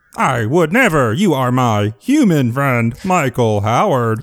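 A man adopts a put-on character voice, pitched in the medium range and delivered at a fairly slow pace. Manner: friendly, reassuring.

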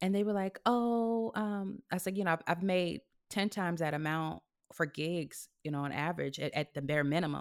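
In a very clean recording with a silent background, a woman with an American accent and a plain, everyday voice speaks at a fairly low pitch and a moderate pace, with ordinary pitch variation. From California. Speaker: actress. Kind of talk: casual chat.

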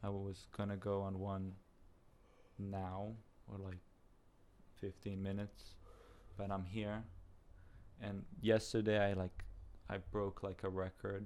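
At a fairly slow pace full of long, frequent pauses, a man speaks at a fairly low pitch with monotone, flat intonation. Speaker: podcast guest. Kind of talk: casual chat.

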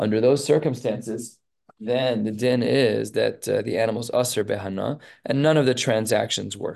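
A man speaks at a fairly quick pace with medium pitch, ordinary pitch variation and vocal fry. The background is quiet. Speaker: rabbi teaching Talmud class. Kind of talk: lecture.

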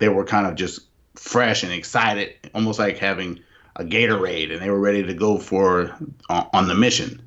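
This man has a plain, everyday voice, fairly low in pitch, with ordinary pitch variation and a moderate pace. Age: 40s. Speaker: host's husband. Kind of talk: casual chat. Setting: video call.

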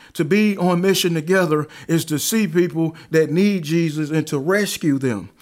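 In a Southern US accent, a man speaks at a moderate pace with a high pitch, ordinary pitch variation and very even loudness, on a very clean recording with a silent background. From Alabama. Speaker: pastor. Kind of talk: interview.

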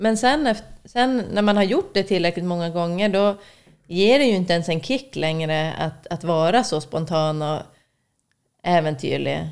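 A woman has a plain, everyday voice with a fairly low pitch and lively intonation. She speaks at a fairly slow pace on a very clean recording with a silent background. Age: 30s. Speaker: podcast guest. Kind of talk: casual chat.

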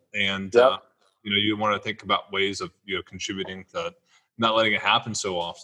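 A man's unremarkable speaking voice at a fairly low pitch, fairly quick pace and ordinary pitch variation. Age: 30s. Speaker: podcast host. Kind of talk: casual interview.

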